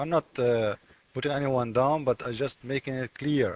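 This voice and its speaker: A man with a non-native accent speaks at a moderate pace in a fairly high voice with ordinary pitch variation, recorded dry and close with no echo. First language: not English. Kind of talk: screen-share commentary. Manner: animated.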